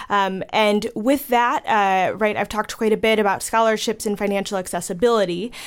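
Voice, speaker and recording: A woman with an American accent and a plain, everyday voice, fairly high in pitch, fairly quick and with hardly any pauses, her intonation fairly even. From Chicago. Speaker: theater educator. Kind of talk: radio interview.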